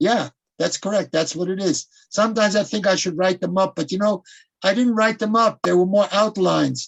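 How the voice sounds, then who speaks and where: Fairly quick, fairly evenly intoned speech comes from a man with an American accent. His pitch is high for a man. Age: 80s+. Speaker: rabbi and teacher. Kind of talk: interview.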